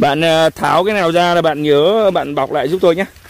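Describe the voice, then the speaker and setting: The sound is dry with no echo, and the pace is fairly slow. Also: man. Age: 40s. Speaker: custard apple farmer. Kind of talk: casual orchard tutorial. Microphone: phone near.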